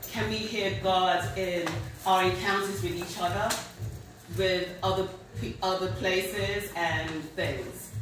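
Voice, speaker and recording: A woman at a very slow pace, long and frequent pauses, ordinary pitch variation, noticeable background noise and audible room echo. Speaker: poet giving a reading. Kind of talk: author talk to audience. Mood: nervous but warm. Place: hall. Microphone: camera far.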